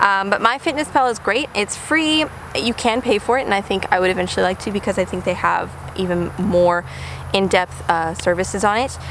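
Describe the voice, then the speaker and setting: A woman with lively intonation at a fairly quick pace, over noticeable background noise. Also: medium pitch for a woman. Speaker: lifestyle vlogger. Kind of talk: casual vlog talk to camera. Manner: fast; many fillers like um and uh.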